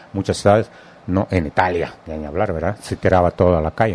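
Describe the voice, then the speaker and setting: Speaking at a fairly quick pace, the man has a very deep, low pitch. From Russia. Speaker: radio host. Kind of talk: interview. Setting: studio.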